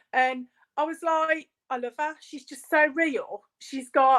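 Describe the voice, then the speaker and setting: A woman speaks in a Birmingham accent with a bright, sharp tone. The sound is dry and close, with no echo. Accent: Brummie. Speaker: small business owner. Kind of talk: casual chat.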